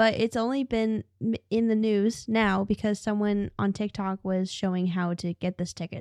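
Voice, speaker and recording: A normal speaking voice in a dry, close sound with no echo, over a quiet background. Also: woman. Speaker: podcast host. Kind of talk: casual chat, reacting to video clips.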